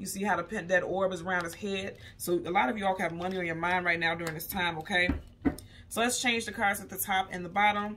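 A woman talks at a very fast pace with fairly even intonation. Music plays in the background. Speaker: tarot reader. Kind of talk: tarot reading commentary. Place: home room. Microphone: phone near.

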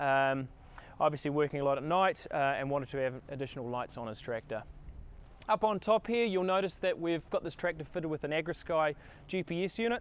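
Dry with no echo, the recording catches a man at a fairly quick pace with ordinary pitch variation. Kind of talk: product walkaround presentation. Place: street.

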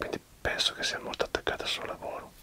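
A man is whispering. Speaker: interviewer or host addressing a guest. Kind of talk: conversational interview talk in Italian. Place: home room. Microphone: webcam.

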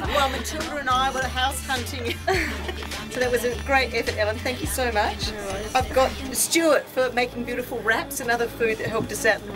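Speech at a moderate pace with clear music in the background. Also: woman. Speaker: party host giving thanks. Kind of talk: party speech. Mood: cheerful, laughing. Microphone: camera far.

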